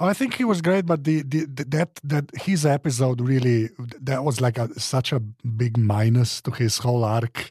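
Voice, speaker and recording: Speaking with a non-native accent, a man has a medium pitch, ordinary pitch variation and a somewhat breathy sound. His moderate pace has hardly any pauses, and his loudness stays very even. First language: not English. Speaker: podcast panelist. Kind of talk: casual panel discussion. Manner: halting, many restarts.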